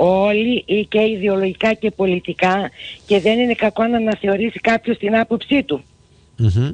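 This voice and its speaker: An unremarkable speaking voice at a fairly slow pace, with ordinary pitch variation and a quiet background. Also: woman. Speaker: local party official. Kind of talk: radio interview.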